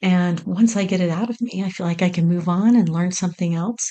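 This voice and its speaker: Somewhat breathy, a woman speaks at a medium pitch and a moderate pace. Her pitch varies in an ordinary way. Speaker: podcast host. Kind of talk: casual solo podcast monologue. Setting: home recording on laptop. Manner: unscripted, conversational. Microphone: mic plugged into laptop.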